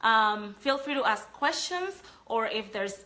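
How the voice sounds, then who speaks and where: A woman talks in a Panamanian accent. Her pace is fairly slow. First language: Spanish. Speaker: sales trainer. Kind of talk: live training talk.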